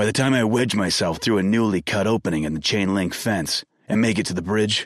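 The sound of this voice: Ordinary pitch variation runs through the speech. It is an unforced reading voice.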